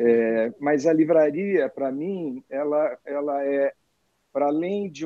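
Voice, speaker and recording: A man's voice with lively intonation. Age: 60s. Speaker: publisher and bookseller. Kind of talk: casual interview chat. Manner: hesitant, many filler words.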